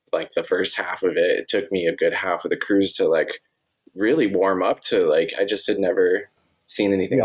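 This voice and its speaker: A voice with an American accent, a moderate pace and very even loudness. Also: man. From US West (Montana and Arizona). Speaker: podcast host. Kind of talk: casual interview chat.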